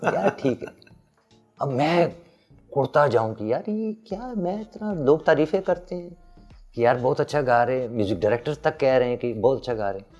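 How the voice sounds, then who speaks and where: Over background music, a man speaks at a fairly high pitch, his voice swinging very widely in pitch and making big jumps in loudness. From Peshawar, Pakistan. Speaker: singer. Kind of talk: interview answer.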